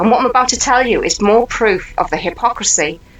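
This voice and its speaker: A woman with an English accent, music in the background. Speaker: channel host, commentator. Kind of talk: rant. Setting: indoors at home. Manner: fast; animated.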